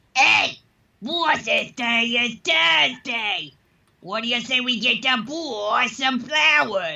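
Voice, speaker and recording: In a cartoonish character voice, a female-sounding speaker with a fairly high pitch talks at a very slow pace. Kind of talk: cartoon voice-acting demo. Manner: tough, gruff.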